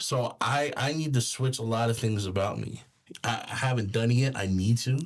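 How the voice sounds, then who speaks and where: A man with a Californian accent, medium in pitch, with ordinary pitch variation at a moderate pace. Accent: Californian American English. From California, Bakersfield. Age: 30s. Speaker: rapper and film crew foreman. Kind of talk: casual interview chat. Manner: halting, many repetitions and false starts.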